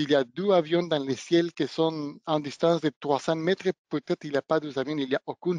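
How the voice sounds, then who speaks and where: A non-native accent at a moderate pace, with fairly even intonation and a dry, close sound with no echo. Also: man. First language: not French (speaking French). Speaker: product trainer / technical presenter. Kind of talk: webinar product demonstration. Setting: online webinar. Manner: hesitant, with fillers and self-corrections.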